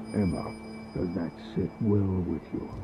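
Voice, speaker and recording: Loud background noise sits under a man talking at a moderate pace. He uses a put-on character voice with a fairly low pitch. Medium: video game. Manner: measured, wry.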